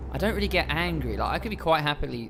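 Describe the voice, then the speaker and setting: A man talks in a southern English accent. Music plays in the background, and the room echo is audible. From England, home counties. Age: 20s. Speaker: lorry driver and streamer. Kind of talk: live stream chat and Q&A. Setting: live stream. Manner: casual, chatty.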